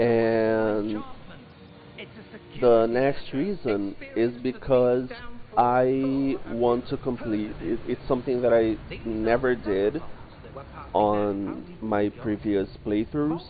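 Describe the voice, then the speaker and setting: A man with a non-native accent speaks at a very slow pace, with long, frequent pauses and fairly even intonation. His pitch is medium, and noticeable background noise runs under the audible speech. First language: not English. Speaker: streamer. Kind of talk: live gameplay commentary. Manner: halting.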